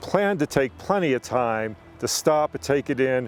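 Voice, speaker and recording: A man talks at a medium pitch. Noticeable background noise runs under his voice. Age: 60s. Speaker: motorcycle rider. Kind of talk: casual explainer talk to camera.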